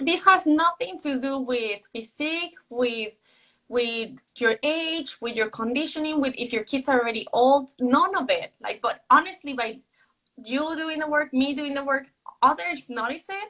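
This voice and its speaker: A woman with a Mexican accent speaks in a raised, projected voice at a high pitch. Her tone is bright and sharp, with a moderate pace and ordinary pitch variation. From Mexico City. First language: Spanish. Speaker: author. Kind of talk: casual chat. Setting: livestream video call.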